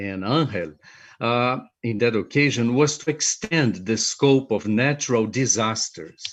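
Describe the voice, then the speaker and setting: A man at a very slow pace, with lively intonation. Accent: Portuguese. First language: Portuguese. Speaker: film researcher. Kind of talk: conference presentation.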